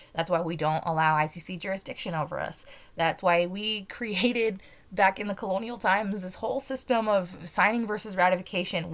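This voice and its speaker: A woman with an American accent speaks at a medium pitch in an unremarkable speaking voice. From Utah. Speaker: podcast host. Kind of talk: political commentary monologue.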